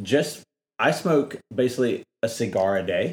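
Lively intonation runs through an ordinary speaking voice with an American accent. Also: man. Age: 30s. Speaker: podcast host. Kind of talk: casual interview; podcast outro. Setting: home, in person.

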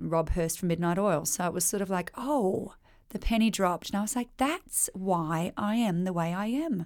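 A woman talks with an Australian accent at a medium pitch. The recording is very clean, with a silent background. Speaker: country singer. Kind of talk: casual interview.

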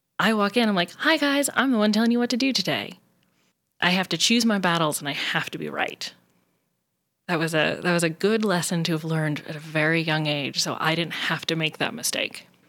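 A woman with a plain, everyday voice speaks at a fairly low pitch with lively intonation, on a very clean recording with a silent background. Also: fairly quick pace. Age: 30s. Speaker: lighting systems designer. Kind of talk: interview.

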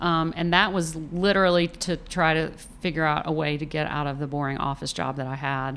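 Speaking with a Southern US accent, the voice moves at a fairly quick pace with ordinary pitch variation. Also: woman. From Atlanta area, Georgia (near Tucker). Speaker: food photographer. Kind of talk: interview. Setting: her studio.

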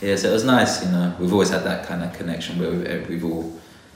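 There is noticeable background noise and audible room echo as a man speaks with a London accent. His pitch is very deep and low, with ordinary variation. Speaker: botanist. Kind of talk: interview.

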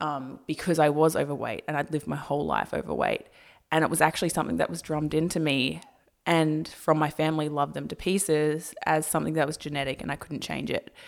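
A woman with a very deep, low voice in an Australian accent, vocal fry, flat monotone intonation and a very fast pace, on a very clean recording with a silent background. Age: 20s. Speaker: YouTuber. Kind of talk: casual chat.

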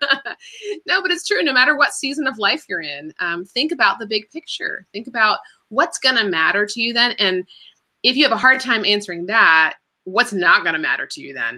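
A fairly high-pitched woman with an American accent, a fairly quick pace, very wide pitch swings and big swings in loudness. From Washington, D.C. area. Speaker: entrepreneur and author. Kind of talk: interview on a live stream.

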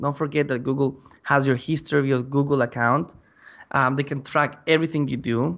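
Talking at a fairly quick pace with ordinary pitch variation, a man speaks with a non-native accent. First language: not English. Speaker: app marketing consultant. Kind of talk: interview. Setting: remote call. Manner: halting.

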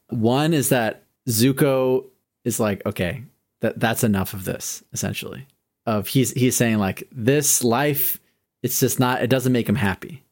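A normal speaking voice at a fairly slow pace, with ordinary pitch variation, comes through a very clean recording with a silent background. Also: man, medium pitch for a man. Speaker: podcast host. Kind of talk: casual chat.

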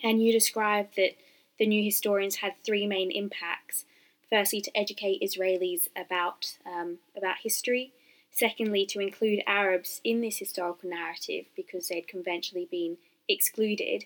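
A woman with an unremarkable speaking voice talks at a moderate pace in a medium pitch with fairly even intonation. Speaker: student podcast host. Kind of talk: interview.

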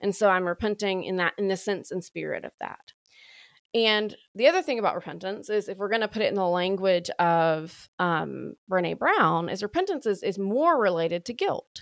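A woman with a strong Southern US accent speaks at a moderate pace at a medium pitch with ordinary pitch variation. The sound is dry and close, with no echo. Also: very clean recording, silent background. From US South, Alabama. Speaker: priest and sobriety coach. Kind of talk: interview conversation. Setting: podcast recording.

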